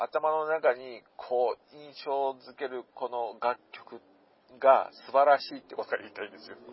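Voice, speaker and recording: The delivery keeps a moderate pace in an unremarkable speaking voice. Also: man. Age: 40s. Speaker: podcast host. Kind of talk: casual monologue. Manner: rambling with many fillers.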